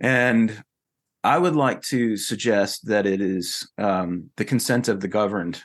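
A fairly low-pitched man with a Southern US accent, ordinary pitch variation and a quiet background. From North Carolina. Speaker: futurist and author. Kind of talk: interview conversation.

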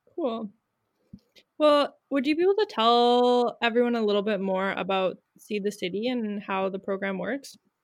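Speaking with a Canadian accent, a woman has a normal speaking voice at a fairly high pitch with ordinary pitch variation. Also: moderate pace. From Winnipeg, Canada. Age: 20s. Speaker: podcast host. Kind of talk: casual interview.

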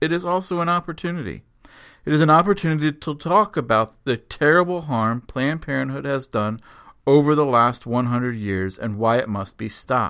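A man's plain, everyday voice, fairly high in pitch, with lively intonation and a fairly quick pace on a very clean recording with a silent background. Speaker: radio host and education director of a pro-life organization. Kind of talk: scripted radio announcements.

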